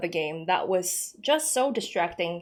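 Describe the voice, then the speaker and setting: Over music in the background, a woman talks at a moderate pace in a southern Chinese accent. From Indonesia. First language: Hakka. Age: 20s. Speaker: gaming lore YouTuber. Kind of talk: casual Q&A chat. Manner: relaxed, chatty.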